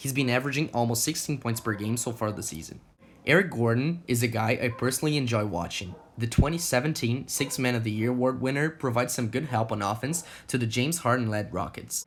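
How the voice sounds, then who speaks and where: Here a man talks at a very fast pace. His pitch is medium, with ordinary variation. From Brazil. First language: Portuguese. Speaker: sports YouTuber. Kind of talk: scripted narration.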